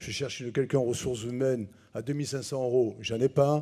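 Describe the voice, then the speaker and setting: At a fairly quick pace, a man talks at medium pitch with a dark, mellow tone. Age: 60s. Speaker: business owner. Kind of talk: public town hall debate. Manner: animated.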